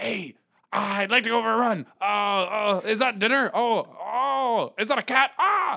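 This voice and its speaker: Slow-paced and high-pitched, a man delivers his lines in a put-on character voice. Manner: excited, eager.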